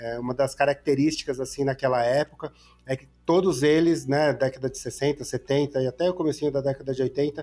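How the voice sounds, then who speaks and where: A man speaks at a moderate pace in an ordinary speaking voice. His pitch is fairly high, with fairly even intonation. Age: 40s. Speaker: motel guide entrepreneur. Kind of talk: podcast interview. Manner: casual.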